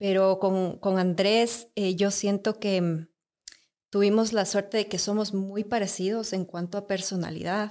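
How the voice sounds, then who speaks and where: Medium pitch from a woman, with monotone, flat intonation and a fairly slow pace. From Ecuador, Quito. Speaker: mother living abroad. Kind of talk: casual chat.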